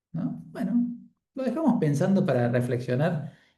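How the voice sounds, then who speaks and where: A dark, mellow tone moves through very wide pitch swings at a moderate pace, with audible room echo. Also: man. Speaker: Bible study leader. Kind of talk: group Bible study facilitation.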